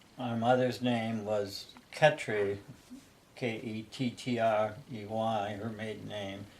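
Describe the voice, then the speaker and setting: In an American accent, the speech moves at a very slow pace with monotone, flat intonation, big swings in loudness and audible room echo. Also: man, medium pitch for a man. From Ohio. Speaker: interviewee recalling family history. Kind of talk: casual family interview.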